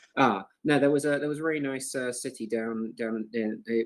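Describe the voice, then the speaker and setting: In a British accent, a man talks at a moderate pace with a medium pitch and fairly even intonation. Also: hardly any pauses. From UK. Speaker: crypto community moderator, chat host. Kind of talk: casual group voice chat. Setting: online voice chat. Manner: halting, many fillers and repeats.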